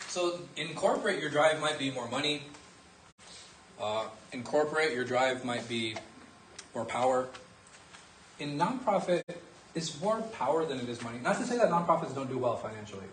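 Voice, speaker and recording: A man with a fairly high pitch and lively intonation speaks with long, frequent pauses, amid audible room echo and noticeable background noise. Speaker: religious teacher. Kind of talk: lecture with class discussion. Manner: fast.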